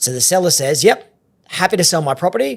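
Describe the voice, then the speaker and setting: A man with an Australian accent at a very fast pace, ordinary pitch variation, and a very clean recording with a silent background. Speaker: auctioneer. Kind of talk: podcast interview.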